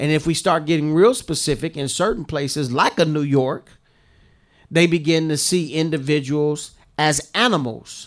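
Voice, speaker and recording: A man with a fairly high pitch and an unremarkable speaking voice, moderate pace and ordinary pitch variation, in a very clean recording with a silent background. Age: 50s. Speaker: podcast co-host. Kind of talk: casual chat.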